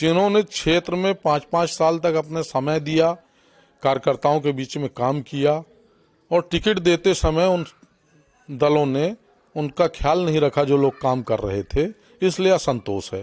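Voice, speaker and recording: A man with an ordinary speaking voice talks at a fairly high pitch with ordinary pitch variation. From Madhya Pradesh, Satna district. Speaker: politician. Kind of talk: interview.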